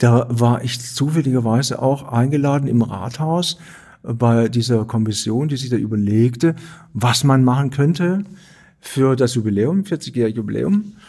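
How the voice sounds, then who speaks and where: On a very clean recording with a silent background, a man speaks at a fairly slow pace and medium pitch with ordinary pitch variation. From Stuttgart, Swabia. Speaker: artist and theatre director. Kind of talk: interview conversation.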